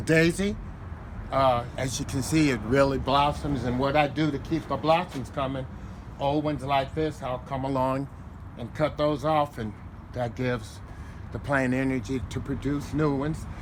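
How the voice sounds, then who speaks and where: A man speaks at a moderate pace with a fairly high pitch and fairly even intonation. Audible room echo surrounds his voice. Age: 70s. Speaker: home gardener. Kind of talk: interview. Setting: outdoors.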